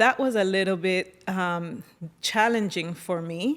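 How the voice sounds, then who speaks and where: Captured in a very clean recording with a silent background, a woman talks at a medium pitch with ordinary pitch variation. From Colombia, San Andres island. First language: San Andres Creole English. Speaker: operations leader and fashion stylist. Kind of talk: interview.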